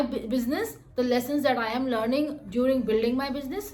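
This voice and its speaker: A high-pitched woman in an Indian accent, with audible room echo. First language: Hindi. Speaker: software developer and vlogger. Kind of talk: vlog monologue. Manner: halting.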